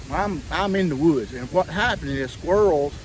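This man speaks with a Southern US accent and lively intonation. Light background noise sits behind him. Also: dry sound with no echo. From Southern United States. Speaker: comedic hillbilly character. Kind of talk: casual talk to camera. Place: forest. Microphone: phone near.

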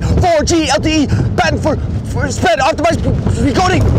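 A man talks with fairly even intonation over noticeable background noise. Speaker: world record fast talker. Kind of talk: TV commercial read. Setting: on a roller coaster. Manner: very fast.

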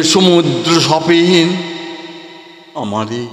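The man's high-pitched voice comes through noticeable background noise. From West Bengal, India. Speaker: poet and recitation artist. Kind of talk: poetry reading.

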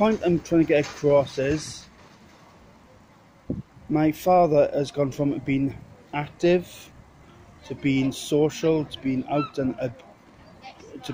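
A man talks at a very slow pace with fairly even intonation. The sound is dry with no echo, and there is noticeable background noise. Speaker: vlogger. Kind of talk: casual vlog chat. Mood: upset, reflective about his father. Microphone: phone near.

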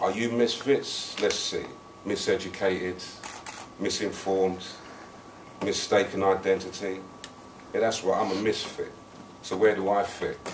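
Long, frequent pauses from a man, with noticeable background noise. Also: moderate pace. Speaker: spoken word poet. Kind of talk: live spoken word poetry performance. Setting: live open mic venue. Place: bar. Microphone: camera far.

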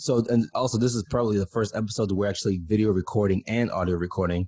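Over a quiet background, a man talks at a very fast pace in a somewhat breathy voice with a dark, mellow tone and ordinary pitch variation. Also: fairly low pitch for a man. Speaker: podcast host. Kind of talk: casual podcast intro chat. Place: home room. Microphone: studio mic.

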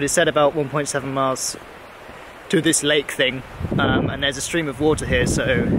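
A man's voice with fairly even intonation, dry with no echo, over noticeable background noise. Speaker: travel vlogger. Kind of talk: casual vlog chat. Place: open country. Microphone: phone near.

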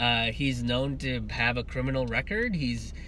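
A man talks at a moderate pace over light background noise. The sound is dry, with no echo. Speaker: comedian commentator. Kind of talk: political commentary vlog. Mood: indignant, firm. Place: car. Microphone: earbuds.

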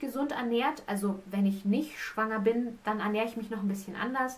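At a moderate pace, a woman speaks with fairly even intonation. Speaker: pregnant vlogger. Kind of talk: casual vlog chat. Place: home room.

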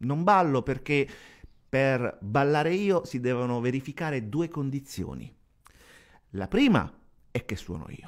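Against a quiet background, a man speaks at a fairly slow pace with lively intonation and long, frequent pauses. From Sicily. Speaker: radio host and DJ; interview guest. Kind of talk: TV interview; interview answer. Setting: TV studio. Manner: halting, repeats words. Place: studio. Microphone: studio mic.

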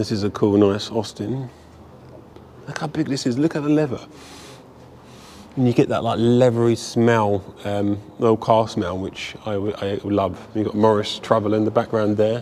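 With a fairly low pitch and fairly even intonation, a man talks at a moderate pace. He leaves long, frequent pauses, and there is light background noise. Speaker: museum visitor vlogger. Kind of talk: casual vlog chat. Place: hall. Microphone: phone near.

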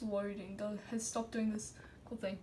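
A woman mumbling in a monotone, flat intonation over light background noise. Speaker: gamer showing a glitch. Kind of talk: casual gameplay commentary. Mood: puzzled, mildly alarmed. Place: home room. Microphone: phone near.

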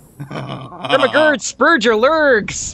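This is a put-on character voice. It is pitched fairly high. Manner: goofy, exaggerated, garbled.

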